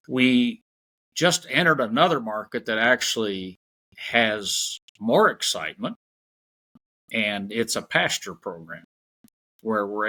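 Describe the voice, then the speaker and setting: Speaking fairly slowly with lively intonation, a man with an American accent has a bright, sharp tone in a dry, close recording with no echo. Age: 70s. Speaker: farmer. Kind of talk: interview conversation.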